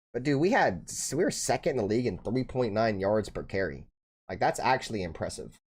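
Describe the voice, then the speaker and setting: A man with an American accent speaks at a fairly quick pace in a medium pitch, with very wide pitch swings and vocal fry. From Bay Area, Northern California. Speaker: sports streamer, football fan host. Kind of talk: live stream reaction commentary, casual. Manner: casual, slangy.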